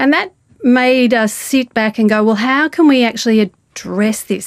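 A woman's ordinary speaking voice, fairly high in pitch, fairly slow and fairly even in intonation, with a dry, close sound and no echo. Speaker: stroke rehabilitation researcher. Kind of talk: interview.

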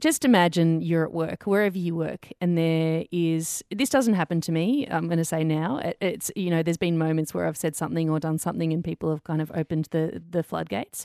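A woman's fairly low voice with an Australian accent, fairly quick with hardly any pauses and ordinary pitch variation, over a quiet background. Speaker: podcast co-host. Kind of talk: casual chat.

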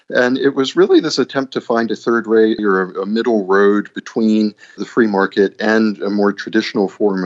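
With a normal speaking voice, a man talks at a moderate speed, fairly low in pitch, with ordinary pitch variation. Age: 30s. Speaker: journalist and author. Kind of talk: interview. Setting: Skype call.

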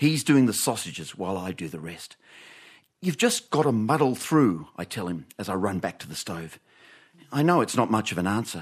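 With an Australian accent, a man speaks at a fairly low pitch and moderate pace with very wide pitch swings, in a very clean recording with a silent background. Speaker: radio host. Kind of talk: live radio comedy panel show. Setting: studio with audience.

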